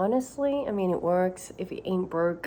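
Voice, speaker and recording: With an Australian accent, a woman talks at medium pitch. Her intonation is lively. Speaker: vlogger, mother and actress/model. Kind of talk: casual vlog chat, get ready with me.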